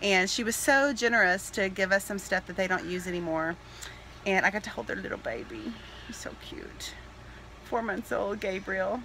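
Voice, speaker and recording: With a Texas accent, a woman talks at a moderate pace with ordinary pitch variation over light background noise. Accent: Texas Southern US. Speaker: family vlogger. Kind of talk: casual vlog talk to camera. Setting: in a car. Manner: animated. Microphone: phone near.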